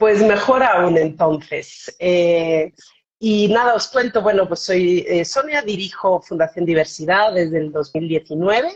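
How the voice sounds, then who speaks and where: A woman speaks fairly slowly. Her medium-pitched voice shows ordinary variation in pitch. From Switzerland, German-speaking part (Bern), Spanish parents. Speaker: foundation director. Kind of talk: interview on live stream. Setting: video call live stream.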